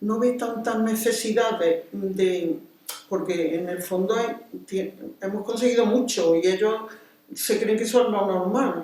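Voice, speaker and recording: Audible room echo and noticeable background noise surround a woman speaking. She talks at a moderate pace with ordinary pitch variation. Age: 80s+. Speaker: retired teacher and neighborhood activist. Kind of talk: interview. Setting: civic centre.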